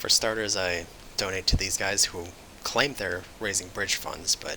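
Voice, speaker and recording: Against noticeable background noise, a man with a very deep, low pitch talks at a moderate pace with fairly even intonation. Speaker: video game guide creator. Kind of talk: gameplay tutorial commentary.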